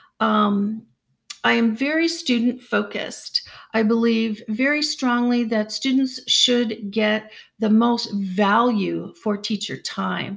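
A woman with an American accent speaks very slowly at a fairly high pitch, somewhat breathy and with ordinary pitch variation. Her loudness stays very even against a quiet background. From United States. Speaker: English language teacher. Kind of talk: job introduction video to camera. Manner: hesitant, many fillers. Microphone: webcam.

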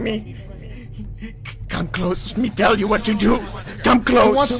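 A put-on character voice pitched fairly high, delivered at a fairly slow pace. Background noise is clearly audible. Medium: game stream. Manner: broken caveman speech, slow.

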